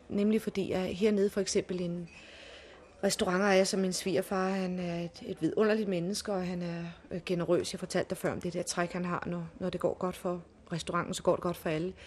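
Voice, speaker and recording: The woman speaks at a moderate pace. Her intonation stays monotone and flat. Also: medium pitch for a woman. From Denmark. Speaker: restaurant owner's wife. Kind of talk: interview.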